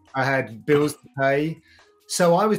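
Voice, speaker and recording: Music plays in the background. A man talks at a fairly high pitch with ordinary pitch variation. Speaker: MMA commentator and presenter. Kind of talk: interview conversation.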